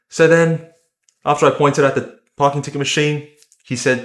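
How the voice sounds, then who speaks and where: A man talks with an Australian accent. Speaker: vlogger. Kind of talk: personal vlog narration. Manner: casual.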